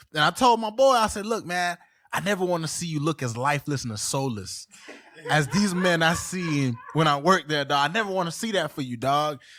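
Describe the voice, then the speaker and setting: A man with an American accent, fairly high pitch, lively intonation and a fairly quick pace, over noticeable background noise. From Haitian family, South Florida. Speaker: podcast host. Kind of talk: casual chat. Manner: loud; animated.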